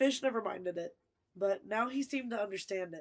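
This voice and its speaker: Using a put-on character voice, a woman sounds raspy at a medium pitch. She talks at a fairly quick pace with lively intonation. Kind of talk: narrating a story.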